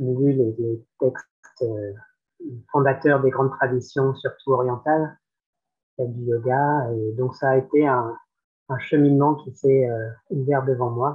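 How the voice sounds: A man's medium-pitched voice with a slightly husky edge, fairly even intonation and a fairly slow pace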